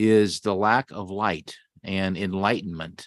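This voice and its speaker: The pace is very slow. An American accent comes through. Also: man. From Los Angeles area, California. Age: 60s. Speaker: city council member. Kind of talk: council meeting remarks. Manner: halting, many fillers.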